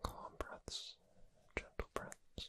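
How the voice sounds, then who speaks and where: Soft-spoken and whispering in a soothing tone, the voice sits under loud background noise. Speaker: audio roleplay narrator. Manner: soft soothing whisper.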